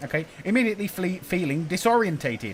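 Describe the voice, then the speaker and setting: In an English accent, the speaker talks at a fairly quick pace in an animated tone with very wide pitch swings. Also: man. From England. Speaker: gaming YouTuber. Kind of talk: let's play commentary reading game text aloud.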